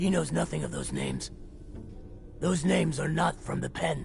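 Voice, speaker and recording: Clear background noise sits behind the man as he does a put-on character voice. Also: moderate pace. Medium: video game. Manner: hesitant, speaks of himself in third person.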